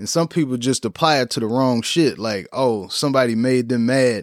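In an American accent, a plain, everyday voice moves at a fairly quick pace with fairly even intonation, recorded very cleanly against a silent background. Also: man. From US Midwest, St. Louis. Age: 30s. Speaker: podcast host and musician. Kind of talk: casual chat.

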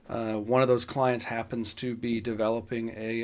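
With an American accent, a man talks at a moderate pace and medium pitch in a normal speaking voice. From Dallas, Texas. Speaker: construction company executive and property developer. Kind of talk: casual interview. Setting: studio.

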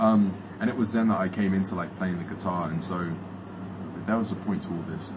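Audible room echo and noticeable background noise surround a man with a very deep, low pitch who talks at a fairly quick pace with fairly even intonation and long, frequent pauses. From Luton, England. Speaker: band lead singer. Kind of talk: casual interview.

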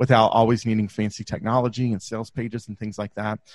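Very fast speech from a man with a Southern US accent, at a fairly low pitch with fairly even intonation, in a dry, close sound with no echo and a quiet background. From US South. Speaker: online business coach. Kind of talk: casual interview chat.

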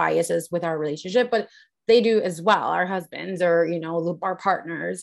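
A woman talks in a normal speaking voice with a fairly low pitch. Her pitch variation is ordinary. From Dominican-American background. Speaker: podcast host. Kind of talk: casual interview chat.

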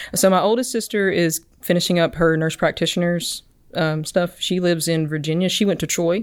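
A woman with an Alabama accent speaks at a fairly low pitch, with fairly even intonation and very even loudness. The recording is very clean, with a silent background. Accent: US Southern (Alabama). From Alabama (Enterprise). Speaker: research engineer and startup founder. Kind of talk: podcast interview.

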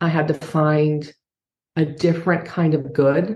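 Her voice is very deep and low for a woman, and somewhat breathy. She speaks in a monotone with flat intonation. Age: 60s. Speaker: business leader and author. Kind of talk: interview.

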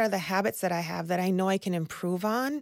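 An ordinary speaking voice: a woman at a medium pitch with ordinary pitch variation, in a dry, close sound with no echo and a very clean recording with a silent background. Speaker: nutritionist. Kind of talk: casual chat.

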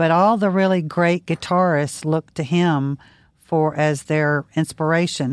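A woman with a Southern US accent speaks fairly slowly in a fairly low voice with fairly even intonation. The recording is very clean and dry, close with no echo, over a silent background. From Louisiana, Baton Rouge area. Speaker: podcast co-host. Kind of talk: casual chat.

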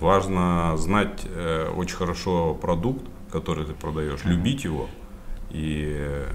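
A man talks at a fairly slow pace in a very deep, low voice. Noticeable background noise and audible room echo are present. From Kazakhstan, Karaganda. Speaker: retail sales director. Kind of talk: interview.

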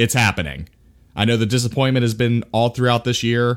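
With a confident tone, a man talks at a medium pitch. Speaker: podcast host and fan. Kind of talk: fan rant / game preview monologue. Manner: impassioned, fired up, emphatic; combative, swaggering, confident.

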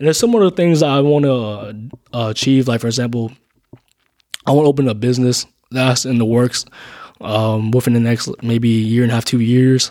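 Pausing long and often, a man talks at a fairly quick pace with a medium pitch, a dark, mellow tone and very even loudness. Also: fairly even intonation. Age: 20s. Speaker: podcast host. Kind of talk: casual solo monologue. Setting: home, recording late at night. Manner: casual, filler-heavy.

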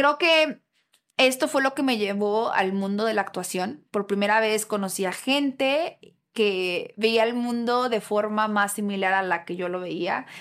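Using a normal speaking voice, a woman talks at a fairly slow pace with fairly high pitch and ordinary pitch variation. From Mexico, Guadalajara. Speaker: podcast host. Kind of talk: personal monologue.

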